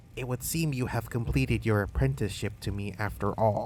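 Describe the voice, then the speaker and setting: A man uses a put-on character voice that is raspy, wheezy and fairly low pitched, with very wide pitch swings. He moves at a fairly quick pace over clear background noise. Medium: read story. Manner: aloof, solemn.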